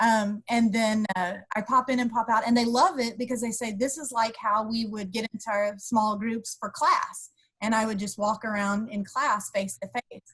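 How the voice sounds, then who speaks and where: A woman speaks in an ordinary speaking voice at a fairly high pitch and a moderate pace. Her intonation is fairly even, and the background is quiet. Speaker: university instructor; instructor presenting to colleagues. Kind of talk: webinar tips presentation. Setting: video call. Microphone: video call.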